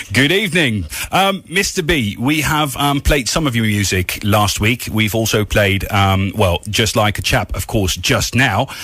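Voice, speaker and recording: Over noticeable background noise, a man talks with lively intonation and very even loudness. He hardly pauses at all. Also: medium pitch for a man, fairly slow pace. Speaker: radio host. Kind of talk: interview. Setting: studio.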